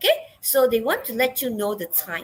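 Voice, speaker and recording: This woman's voice sits at a fairly high pitch, with ordinary pitch variation. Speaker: English teacher. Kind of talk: online class lesson. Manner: slow; hesitant, many fillers.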